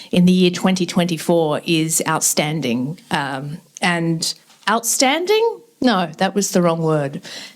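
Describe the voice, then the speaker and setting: Speaking at a very slow pace, a woman with an Australian accent has a fairly low pitch for a woman and ordinary pitch variation. Noticeable background noise is present. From Western Sydney, Australia (Lebanese migrant family). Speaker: event host. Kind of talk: public speech. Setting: event with live audience. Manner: casual, with many fillers.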